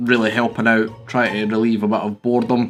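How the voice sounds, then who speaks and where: A man speaks at a moderate pace and medium pitch in a Scottish accent. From Scotland. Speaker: YouTuber, photography hobbyist. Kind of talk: casual vlog talk. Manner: hesitant, many fillers.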